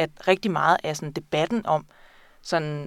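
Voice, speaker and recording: A woman has an unremarkable speaking voice at a fairly low pitch and a moderate pace. The recording is very clean, with a silent background. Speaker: librarian and book buyer. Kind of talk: casual interview about books. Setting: studio.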